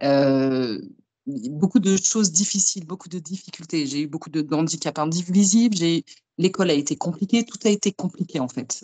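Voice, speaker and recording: Speaking at a fairly quick pace, a woman has a fairly low pitch with ordinary pitch variation. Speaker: medium and tarot reader. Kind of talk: interview.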